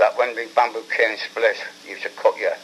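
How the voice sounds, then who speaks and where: A man with a Liverpool accent talks at a moderate pace over noticeable background noise. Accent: Liverpool (Scouse). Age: 80s+. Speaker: war veteran, former prisoner of war. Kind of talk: interview answer.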